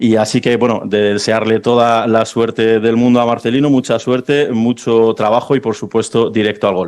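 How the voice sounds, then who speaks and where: A man talks at medium pitch in a monotone, flat intonation with very even loudness and hardly any pauses. The background is quiet. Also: moderate pace. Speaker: football club president. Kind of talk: press conference speech. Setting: press conference. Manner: halting, many fillers.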